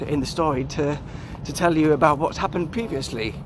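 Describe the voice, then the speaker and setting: The man's pitch sits fairly high and varies in an ordinary way. Noticeable background noise runs beneath him. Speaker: YouTuber, walking vlogger. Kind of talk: casual vlog monologue. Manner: halting, many ums and repeats.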